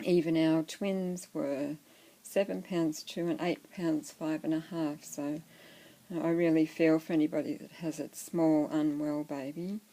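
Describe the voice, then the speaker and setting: A dark, mellow voice with an Australian accent, fairly slow and with fairly even intonation. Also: woman, very deep, low pitch for a woman. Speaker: doll collector vlogger. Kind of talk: casual show-and-tell vlog. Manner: soft-spoken.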